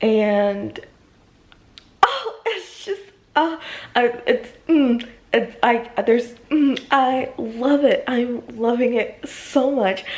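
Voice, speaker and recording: A woman speaks at a very slow pace in a high pitch with ordinary variation. Noticeable background noise sits behind her. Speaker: book vlogger. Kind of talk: casual vlog talk to camera. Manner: animated.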